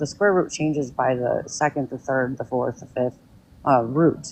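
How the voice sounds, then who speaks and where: Ordinary pitch variation in a woman's speech. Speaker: guest caller on live stream. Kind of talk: casual chat. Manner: fast; halting, many fillers.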